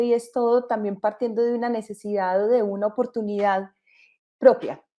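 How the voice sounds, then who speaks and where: A woman with a Colombian accent speaks at a fairly high pitch in a dark, mellow tone, her intonation monotone and flat against a quiet background. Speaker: entrepreneur, company co-founder. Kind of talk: panel discussion in online event.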